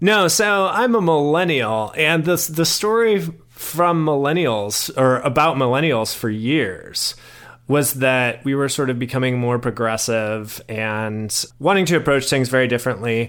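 With a plain, everyday voice, a man speaks at a fairly slow pace, his fairly high pitch moving in lively intonation. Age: 30s. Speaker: writer and ethics doctoral student. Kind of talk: interview.

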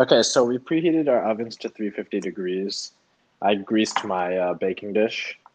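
A man speaks at a moderate pace with lively intonation and a fairly low pitch. He has an unremarkable speaking voice. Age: 20s. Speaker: podcast co-host. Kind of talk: casual chat. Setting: remote recording.

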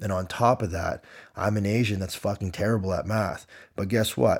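Speaking fairly quickly with a Canadian accent, a man has an ordinary speaking voice, fairly low pitch and fairly even intonation, on a very clean recording with a silent background. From Canada (Windsor, Ontario). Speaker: gym owner and fitness coach. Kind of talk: storytelling monologue.

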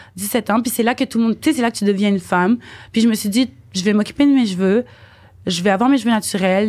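The pace is very fast as a woman speaks with a medium pitch and ordinary pitch variation. Her recording is very clean, with a silent background. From Quebec, Montreal. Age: 20s. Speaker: dancer and model. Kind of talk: casual chat.

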